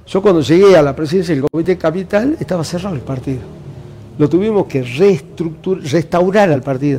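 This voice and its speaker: The speaker talks fairly quickly, pitch varying in an ordinary way, with background noise clearly audible. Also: man, high pitch for a man. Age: 60s. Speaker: party official and university administrator. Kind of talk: interview.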